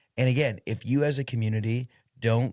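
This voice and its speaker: A man with a Midwestern American accent speaks at a medium pitch in an animated tone. The recording is very clean, with a silent background. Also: dry, close sound with no echo. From Indiana. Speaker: podcast host. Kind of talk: casual interview conversation. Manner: fast; loud and animated.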